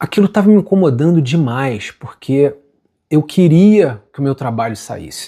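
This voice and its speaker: A dark, mellow, somewhat breathy tone with lively intonation at a fairly slow pace. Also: man, fairly high pitch for a man. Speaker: singer-songwriter. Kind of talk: personal story monologue. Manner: casual.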